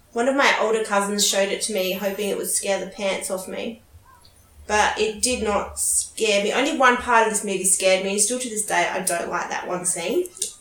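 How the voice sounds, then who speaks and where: A woman of medium pitch speaks fairly quickly with ordinary pitch variation, noticeable background noise present throughout. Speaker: podcast co-host. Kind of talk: casual movie commentary chat.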